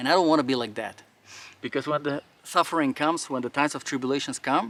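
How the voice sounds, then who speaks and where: A man speaks very fast with a non-native accent, his pitch fairly high and its variation ordinary. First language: not English. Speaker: firearms and faith YouTuber. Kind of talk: outdoor monologue during drill. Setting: outdoors. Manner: animated.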